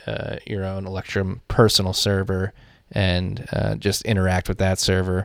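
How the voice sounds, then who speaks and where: A man with an American accent speaks at a very deep, low pitch and a moderate pace, with ordinary pitch variation. The recording is very clean, with a silent background. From Philadelphia. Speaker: podcast host. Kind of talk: casual chat.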